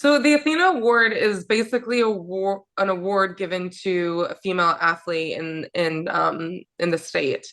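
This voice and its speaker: Speaking at a moderate pace with hardly any pauses, a woman with an American accent uses lively intonation. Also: medium pitch for a woman. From rural Virginia, US. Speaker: professional basketball player. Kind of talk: interview. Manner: hesitant, many fillers.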